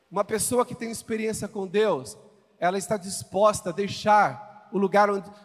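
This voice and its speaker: Over music in the background, a man with a high pitch talks at a moderate pace. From Brazil, Goiânia (Goiás). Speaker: visiting pastor. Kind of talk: sermon. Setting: church stage with congregation. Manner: animated.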